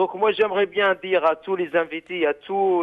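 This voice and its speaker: His pitch high, a man speaks at a fairly slow pace. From Algeria. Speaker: activist. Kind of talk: call-in radio show.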